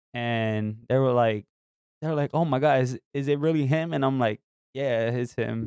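A man talks in a New York accent at a moderate pace with ordinary pitch variation. The sound is dry and close, with no echo. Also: medium pitch for a man. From New York City. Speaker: guest co-host. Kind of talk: casual chat.

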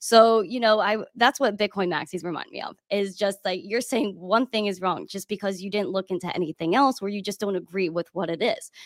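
A woman with an American accent in a plain, everyday voice, medium-pitched with ordinary pitch variation, hardly any pauses, and dry, close sound with no echo. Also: fairly quick pace. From New York City. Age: 20s. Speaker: crypto educator. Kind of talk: casual chat.

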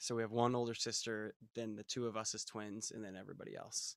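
In a very clean recording with a silent background, a man with an American accent and a normal speaking voice talks at a moderate pace in a medium pitch. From US South, Florida (Fort Myers). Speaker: singer-songwriter. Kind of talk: casual chat.

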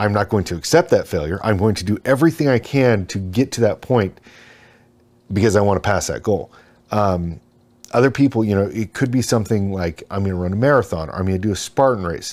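In a very clean recording with a silent background, a man with a normal speaking voice talks at a fairly quick pace in a fairly low pitch with lively intonation. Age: 40s. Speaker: retired Green Beret and instructor. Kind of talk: casual chat.

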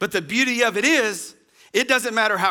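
A man speaks in a raised, projected voice at a high pitch, with a bright, sharp tone. His pace is moderate, and the recording is very clean with a silent background. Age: 40s. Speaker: pastor. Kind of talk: sermon.

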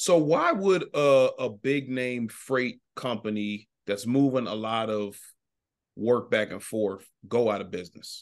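Against a quiet background, a man with an unremarkable speaking voice talks at a fairly slow pace, medium in pitch, with lively intonation. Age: 40s. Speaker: podcast host. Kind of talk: casual interview chat.

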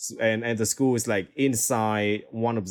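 A man with a Vietnamese accent, fairly low in pitch, at a very slow pace. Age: 20s. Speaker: DJ and music producer. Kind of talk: interview.

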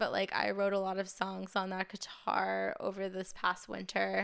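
The speaker has an American accent and a fairly slow pace. The recording is very clean and the background silent. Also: woman. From Maine, New England US. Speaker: singer-songwriter. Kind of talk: casual interview chat. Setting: studio.

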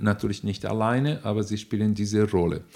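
Very clean recording and silent background, carrying a dark, mellow tone. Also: man. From Brazil. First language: Portuguese (speaking German). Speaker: neuroanatomist and nutrition expert, professor. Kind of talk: interview answers, explanatory. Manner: hesitant with fillers.

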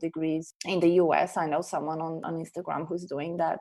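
A woman with a Portuguese accent speaks against a quiet background. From Portugal. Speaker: science communicator. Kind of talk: interview.

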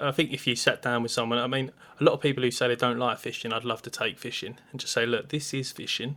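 With an Essex accent, a man speaks very fast in a bright, sharp tone, medium in pitch and monotone, flat in intonation, on a very clean recording with a silent background. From Essex, England. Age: 30s. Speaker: podcast host, angler. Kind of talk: casual chat.

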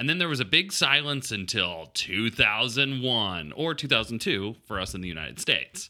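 Playful and animated, a man speaks at a moderate pace with very wide pitch swings, vocal fry, and a bright, sharp tone on a very clean recording with a silent background. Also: medium pitch for a man. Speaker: podcast host. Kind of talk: casual comedic banter between a couple. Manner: playful, animated.

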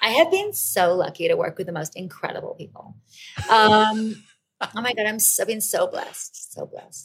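Putting on a raspy character voice with an American accent, a woman speaks at a fairly high pitch and a fairly slow pace. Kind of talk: gushing, Hollywood celebrity talk. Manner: exaggerated, fake.

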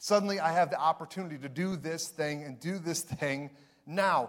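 Moderately paced male speech in a normal speaking voice, fairly high in pitch with ordinary pitch variation. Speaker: pastor. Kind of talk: sermon. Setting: church.

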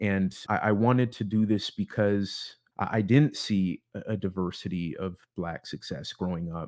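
The recording is very clean, with a silent background. A man with an American accent speaks at a moderate pace and fairly low pitch, with ordinary pitch variation. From US Pacific Northwest, Seattle suburbs (Bellevue, Issaquah). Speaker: podcast host. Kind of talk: solo podcast introduction monologue. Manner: halting, many repeated words and fillers.

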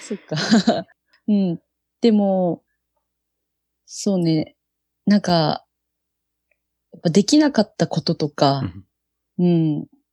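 A woman's fairly low voice with a dark, mellow tone and lively intonation, very slow with long, frequent pauses, in a dry, close sound with no echo. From Japan, Yokohama (Kanagawa). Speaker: touch rugby national team captain. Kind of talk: casual chat.

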